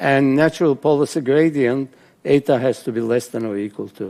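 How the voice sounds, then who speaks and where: Here a man talks at a moderate pace in a medium pitch. His tone is dark and mellow, with ordinary pitch variation. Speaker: professor. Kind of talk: lecture. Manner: halting.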